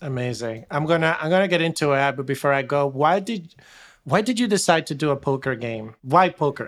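In an ordinary speaking voice, a man talks at a fairly quick pace with lively intonation and fairly high pitch. The recording is very clean, with a silent background. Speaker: podcast host. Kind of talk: interview questions.

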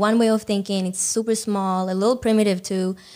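Speaking at a moderate pace in an Israeli accent, a woman keeps a medium pitch with monotone, flat intonation. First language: Hebrew. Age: 20s. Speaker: dancer. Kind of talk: casual chat.

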